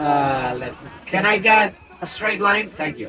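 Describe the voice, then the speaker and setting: With music in the background, a man with a non-native accent speaks at a very slow pace. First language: not English. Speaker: vtuber streamer. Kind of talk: gameplay tutorial. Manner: halting, self-correcting.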